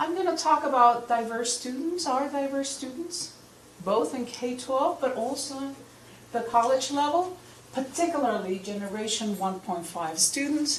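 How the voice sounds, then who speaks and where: A woman with a high pitch and very wide pitch swings speaks at a moderate pace, with audible room echo and noticeable background noise. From Peru. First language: Spanish. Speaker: professor. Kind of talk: lecture. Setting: lecture hall with audience.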